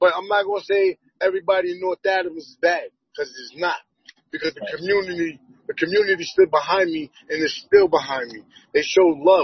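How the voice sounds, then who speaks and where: The speaker has an American accent and a fairly quick pace. The intonation stays fairly even. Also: man, high pitch for a man. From Boston. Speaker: activist. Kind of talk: casual chat.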